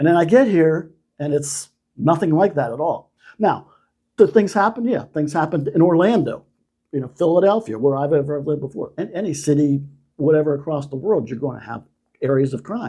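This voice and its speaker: On a very clean recording with a silent background, a man with an American accent speaks at a fairly quick pace in a dark, mellow tone with fairly high pitch. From United States. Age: 60s. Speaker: retiree. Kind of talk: interview answer.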